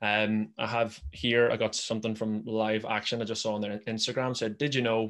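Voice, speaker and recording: A man speaks with a Belfast accent. His pitch is medium. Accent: Northern Irish, Belfast. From Northern Ireland. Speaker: podcast host. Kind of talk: interview.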